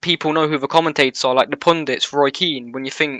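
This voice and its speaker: A man with a British accent speaks at a fairly high pitch with fairly even intonation. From UK. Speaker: esports commentator. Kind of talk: casual interview.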